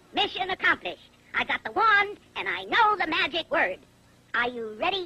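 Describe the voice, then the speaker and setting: This cartoonish character voice sits at an extremely high pitch and moves at a moderate pace. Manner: brash, wisecracking.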